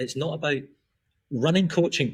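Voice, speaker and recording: A somewhat breathy man in a Scottish accent, at a moderate pace with ordinary pitch variation. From Scotland, then Australia from teens. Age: 40s. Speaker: performance and recovery coach. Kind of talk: podcast interview.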